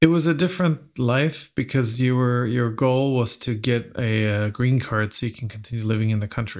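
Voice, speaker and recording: On a very clean recording with a silent background, a man at a medium pitch talks with hardly any pauses and ordinary pitch variation. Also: moderate pace. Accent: Swedish. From Sweden. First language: Swedish. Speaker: podcast host. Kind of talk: casual chat.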